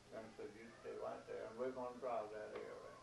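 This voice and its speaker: Noticeable background noise around a man's voice with an American accent. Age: 80s+. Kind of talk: storytelling in a home interview. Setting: at home, seated at a table.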